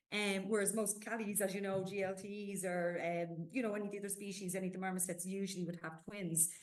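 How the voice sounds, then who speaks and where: With audible room echo and noticeable background noise around her, the woman keeps her intonation fairly even. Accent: Irish. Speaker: zoo conservation coordinator. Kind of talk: podcast interview. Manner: hesitant, many fillers.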